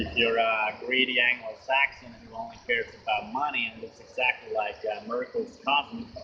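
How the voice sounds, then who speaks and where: At a moderate pace, a man speaks while noticeable background noise runs behind him. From Finland. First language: Finnish. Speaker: vlogger. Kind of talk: casual monologue. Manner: hesitant, many fillers.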